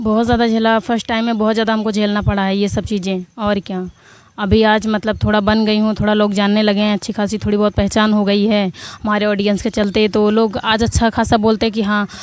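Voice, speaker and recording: Speaking at a moderate pace, a woman uses a fairly high voice with monotone, flat intonation. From Prayagraj, Uttar Pradesh. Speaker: comedy video actress. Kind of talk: interview. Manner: loud, sharp-toned.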